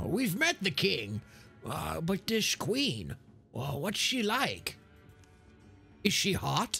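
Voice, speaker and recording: Long, frequent pauses break up the very slow speech, with faint music in the background. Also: man, high pitch for a man. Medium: actual play. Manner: curt, commanding, wry.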